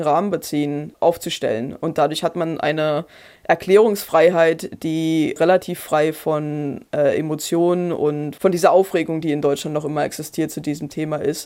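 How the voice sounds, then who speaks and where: This woman's voice is fairly low, with a dark, mellow tone and fairly even intonation at a moderate pace. The recording is very clean, with a silent background. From Brandenburg, eastern Germany. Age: 30s. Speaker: historian and author. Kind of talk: interview. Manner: hesitant, with fillers and repetitions.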